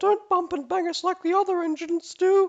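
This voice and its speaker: This is a put-on character voice with an extremely high pitch. It sounds squeaky and moves at a fairly quick pace. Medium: read story. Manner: gentle, fussy.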